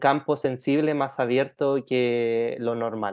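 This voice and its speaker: Man with an ordinary speaking voice, medium pitch and fairly even intonation. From Chile. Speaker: life design coach. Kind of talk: interview conversation.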